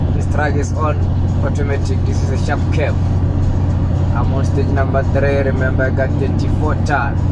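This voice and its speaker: Backed by music, a man talks at a moderate speed. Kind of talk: casual live-stream chat while driving. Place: car.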